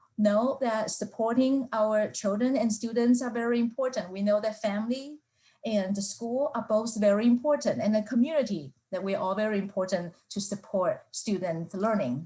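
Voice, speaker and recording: A woman with a fairly high pitch speaks at a moderate pace in a somewhat breathy, dark, mellow tone, with ordinary pitch variation. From Taiwan. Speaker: professor. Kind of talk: lecture. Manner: halting, with fillers.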